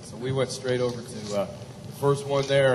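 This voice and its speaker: Noticeable background noise and a man's moderate pace. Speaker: cowboy poet. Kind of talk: humorous cowboy storytelling.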